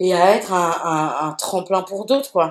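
The woman's voice sits fairly low in pitch with ordinary variation. She speaks at a fairly slow pace. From France. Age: 40s. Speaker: DJ and activist. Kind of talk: casual interview. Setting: remote recording. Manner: halting, many fillers and repetitions.

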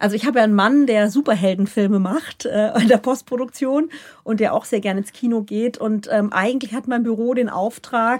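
A woman with a plain, everyday voice, a fairly high pitch and ordinary pitch variation talks at a moderate pace. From Palatinate, Germany. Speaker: state politician and filmmaker. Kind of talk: interview conversation.

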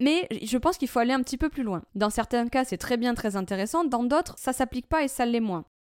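Speaking fairly quickly with hardly any pauses, a woman uses a high voice and lively intonation in a very clean, dry, close recording with a silent background and no echo. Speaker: coffee trainer and consultant. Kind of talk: solo podcast talk.

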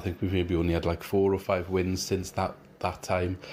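A man with a Welsh accent and a very deep, low pitch speaks at a fairly quick pace in a flat monotone. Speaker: rival football podcaster. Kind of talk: recorded preview.

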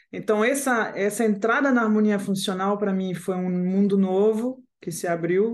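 A woman with a French accent talks at a fairly slow pace. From France (Paris). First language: French (speaking Portuguese). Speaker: composer and guitarist. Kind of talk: interview.

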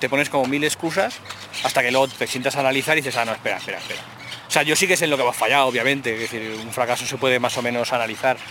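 A man's medium-pitched voice at a very fast pace, with fairly even intonation and noticeable background noise. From Aragon, Spain. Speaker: game developer and journalist. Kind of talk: casual chat.

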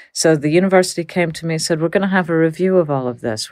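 Talking very fast, a woman with an American accent uses a fairly low pitch and ordinary pitch variation. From Texas. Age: middle-aged. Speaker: criminologist. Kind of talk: interview.

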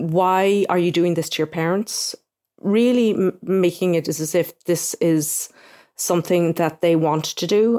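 Her pitch fairly low, a woman talks with an Irish accent. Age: 40s. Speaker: newspaper correspondent. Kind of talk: interview.

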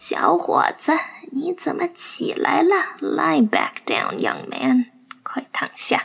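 A woman's whispering, raspy, put-on character voice at a very slow pace. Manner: gentle, concerned.

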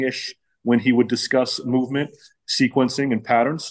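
Over a quiet background, a man with an unremarkable speaking voice talks at a fairly quick pace, his medium pitch kept fairly even in intonation. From Pittsburgh, US. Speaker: facility owner and pitching coach. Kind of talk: casual interview chat.

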